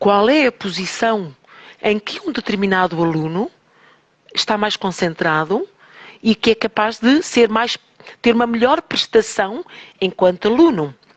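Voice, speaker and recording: This woman has a European Portuguese accent and a fairly high pitch, with lively intonation. She goes at a fairly slow pace, leaving long, frequent pauses. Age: 60s. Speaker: teacher and holistic therapist. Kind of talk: radio interview.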